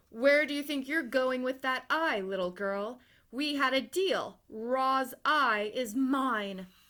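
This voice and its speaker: This is a put-on character voice. It is delivered loudly. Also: woman, high pitch for a woman, fairly slow pace, ordinary pitch variation. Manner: evil, booming.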